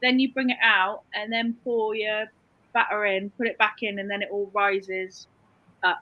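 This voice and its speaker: At a moderate pace, a woman speaks in a fairly high pitch with monotone, flat intonation. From England, Cheltenham (Gloucestershire). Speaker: online reseller. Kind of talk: casual chat.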